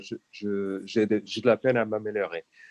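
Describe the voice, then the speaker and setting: With a non-native accent, a man is talking. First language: not French (speaking French). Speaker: EU official. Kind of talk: conference talk. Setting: video call. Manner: halting.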